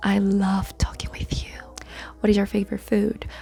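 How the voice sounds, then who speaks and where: Here a woman talks at a medium pitch. Noticeable background noise runs underneath. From South Korea. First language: Korean. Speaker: YouTuber and English teacher. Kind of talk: Q&A vlog.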